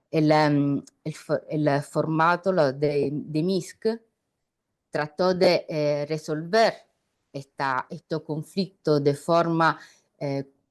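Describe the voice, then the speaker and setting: With an Italian accent, a woman talks at a very slow pace in a very deep, low pitch, her intonation fairly even and her speech broken by long, frequent pauses. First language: Italian (speaking Spanish). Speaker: journalist. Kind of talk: panel discussion. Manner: halting.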